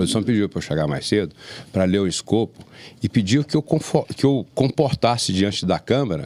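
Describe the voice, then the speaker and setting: On a very clean recording with a silent background and a dry, close sound with no echo, the speaker moves at a fairly quick pace through very wide pitch swings. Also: man, fairly low pitch for a man. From Brazil, Jiquiriçá area, Bahia countryside. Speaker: podcast host. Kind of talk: casual chat.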